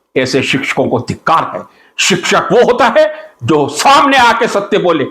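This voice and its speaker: A man's raised, projected voice moves in very wide pitch swings with an animated tone. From India. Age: 60s. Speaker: chemistry teacher and political commentator. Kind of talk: political monologue.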